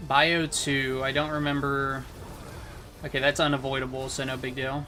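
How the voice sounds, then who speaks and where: Over noticeable background noise and audible room echo, a man speaks in a fairly high pitch with monotone, flat intonation. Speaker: video game streamer. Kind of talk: live gameplay stream chat. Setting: home computer setup. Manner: fast; casual.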